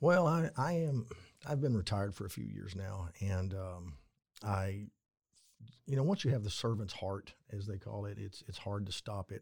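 Recorded very cleanly against a silent background, a man with a fairly low pitch talks at a moderate pace with lively intonation and a somewhat breathy voice. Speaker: retired Texas Ranger. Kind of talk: casual interview. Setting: studio, in person.

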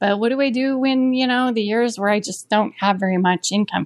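With a dry, close sound and no echo, a woman speaks at a moderate pace in an unremarkable speaking voice with ordinary pitch variation. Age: 50s. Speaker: author and audiobook narrator. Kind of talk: recorded listener question.

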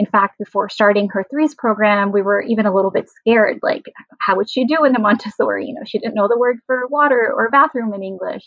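Talking very fast, a woman uses a fairly high pitch with ordinary pitch variation. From Pakistan. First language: Sindhi. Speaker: parent panelist. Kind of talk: casual panel discussion.

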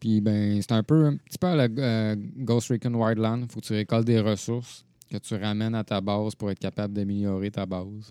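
Recorded very cleanly against a silent background, a man with a fairly low pitch and a dark, mellow tone speaks at a moderate pace with fairly even intonation. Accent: Quebec. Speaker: gaming podcast co-host. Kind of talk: casual chat.

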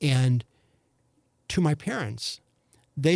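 Speech in a St. Louis accent moves at a very slow pace, dark, mellow and somewhat breathy. The sound is dry and close with no echo. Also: man. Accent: St. Louis Midwestern US. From St. Louis, Missouri. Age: 60s. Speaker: former county executive candidate. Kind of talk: casual interview conversation. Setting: studio. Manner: hesitant, filler-heavy.

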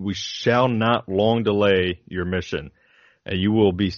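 The recording presents a natural reading voice.

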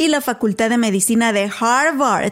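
This woman has an unremarkable speaking voice. It sits fairly high in pitch with ordinary pitch variation. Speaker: podcast host. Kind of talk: casual interview.

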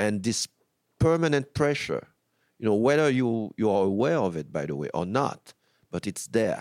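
At a moderate pace, a man in a medium pitch swings very widely up and down, leaving long, frequent pauses. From Haiti. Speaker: filmmaker. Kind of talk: interview. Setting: film festival. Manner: halting, repeats words.

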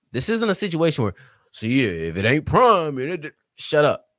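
An animated man with a slight Southern US accent speaks at a fairly high pitch and a moderate pace, his pitch swinging very widely. The sound is dry and close, with no echo. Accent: slight Southern US twang. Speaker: sports podcast host and writer. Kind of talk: casual chat.

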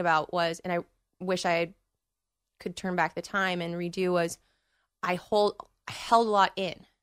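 In an American accent, a woman speaks at a medium pitch and a moderate pace with monotone, flat intonation, in a dry, close recording with no echo that is very clean with a silent background. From Northern California. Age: 20s. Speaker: guest. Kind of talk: casual chat. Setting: studio.

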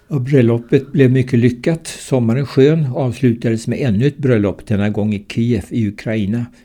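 Speaking at a medium pitch, a man has a dark, mellow tone. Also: very clean recording, silent background. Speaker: retired surgeon and cancer patient. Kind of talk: reading aloud a personal account.

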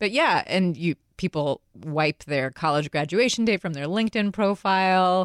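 With a normal speaking voice, a woman at a medium pitch talks at a moderate pace with lively intonation and hardly any pauses, recorded dry and close with no echo over a very clean, silent background. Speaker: podcast co-host. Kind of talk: casual chat.

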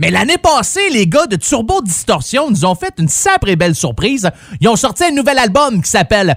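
A man speaks in a Quebec accent. His tone is animated. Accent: Québécois French. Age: 40s. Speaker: radio host. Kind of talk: radio music show.

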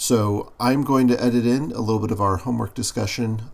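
The man's speech has ordinary pitch variation. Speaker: podcast host. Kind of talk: casual chat. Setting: studio.

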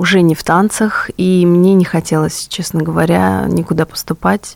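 Speaking fairly slowly, a woman has a dark, mellow tone at a fairly low pitch. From Russia, Rostov-on-Don. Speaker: jazz singer. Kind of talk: radio interview. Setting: studio.

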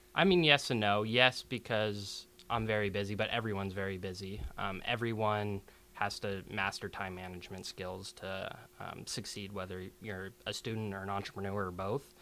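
Speaking at a moderate pace with an American accent, a man has a fairly low pitch, a bright, sharp tone, and fairly even intonation. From Seattle. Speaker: law student. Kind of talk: interview.

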